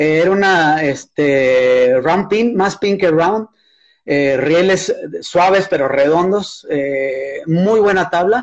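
A man speaks at a very slow pace in a high pitch. His intonation is lively and his loudness very even. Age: 60s. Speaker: surfer and surfboard builder. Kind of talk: casual chat.

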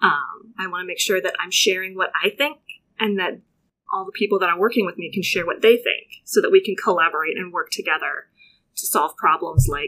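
Moderate pace with an American accent. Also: woman. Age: 30s. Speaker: children's librarian. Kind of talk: interview by schoolchildren.

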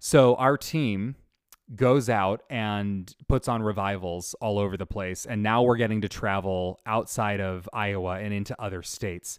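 Against a silent background in a very clean recording, a man with an unremarkable speaking voice and fairly low pitch speaks at a fairly slow pace with fairly even intonation. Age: 30s. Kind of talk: faith teaching monologue.

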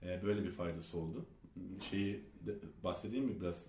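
A man speaks with a very deep, low pitch, vocal fry and ordinary pitch variation. Room echo is audible. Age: 30s. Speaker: author and entrepreneur. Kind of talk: interview.

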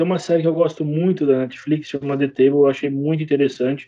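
This is an unremarkable speaking voice from a man, fairly high in pitch, with fairly even intonation. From Brazil, interior of São Paulo state (Jaú). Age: 30s. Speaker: butcher shop owner. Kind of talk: interview.

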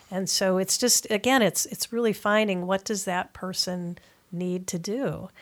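A woman with an American accent has an ordinary speaking voice at medium pitch, with fairly even intonation and a fairly slow pace. The recording is very clean, with a silent background. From US Midwest, Madison, Wisconsin. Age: 60s. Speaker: physical therapist and running coach. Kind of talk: interview.

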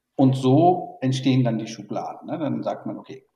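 A man speaks at a moderate pace. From born in Burma, raised in Germany. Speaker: tech industry executive. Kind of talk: interview. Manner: hesitant with many fillers.

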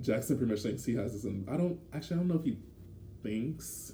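The speech comes at a fairly quick pace, somewhat breathy, with ordinary pitch variation. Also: man. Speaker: podcast co-host. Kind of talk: casual chat. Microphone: poor audio environment.

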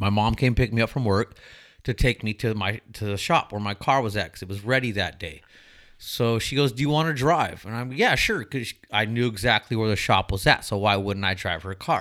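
In a very clean recording with a silent background, a man talks fairly quickly in a normal speaking voice at medium pitch, with ordinary pitch variation. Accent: American. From Southern California, Inland Empire. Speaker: former loss prevention agent. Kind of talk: casual chat.

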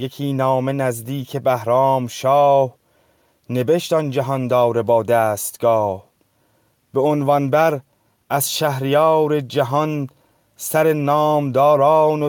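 A man speaks very slowly, with long, frequent pauses. His pitch is fairly high and his intonation fairly even. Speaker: participant reading verses aloud. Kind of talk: reading aloud. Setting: video call.

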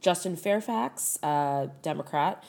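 A woman with a very deep, low pitch and an American accent, ordinary pitch variation, on a very clean recording with a silent background. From Chicago area, US Midwest. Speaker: podcast host. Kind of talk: casual chat.

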